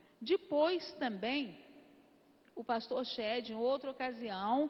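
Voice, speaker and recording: A high-pitched woman's voice at a very slow pace, full of lively intonation. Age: 80s+. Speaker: church member giving convention report. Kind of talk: testimony. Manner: informal, conversational.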